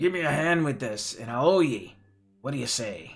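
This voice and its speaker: A moderate pace and a fairly high pitch in a man's put-on character voice. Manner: bargaining, gruff.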